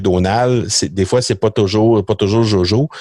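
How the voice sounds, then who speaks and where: In a very clean recording with a silent background, a man talks at a fairly low pitch with ordinary pitch variation. The sound is dry and close, with no echo. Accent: Quebec. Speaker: entrepreneur. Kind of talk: podcast interview. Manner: halting, many fillers and repetitions.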